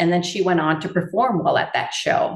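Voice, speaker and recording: With an American accent, a woman speaks at a moderate pace and medium pitch, with audible room echo. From Iowa, north of Dubuque. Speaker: integrative veterinarian. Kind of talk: interview.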